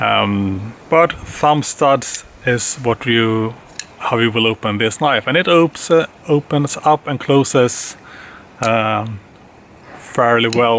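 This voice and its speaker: Over noticeable background noise, someone with a non-native accent speaks very slowly, using ordinary pitch variation. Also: man, medium pitch for a man. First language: not English. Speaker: knife reviewer. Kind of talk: product review. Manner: halting, many fillers.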